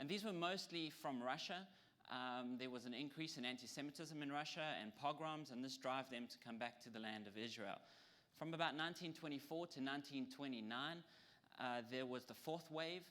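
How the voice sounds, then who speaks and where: With a South African accent, a man talks at a fairly quick pace in a fairly high, bright, sharp voice, with audible room echo. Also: ordinary pitch variation. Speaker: lecturer. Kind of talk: lecture. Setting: audience with PowerPoint. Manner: hesitant, with frequent ums.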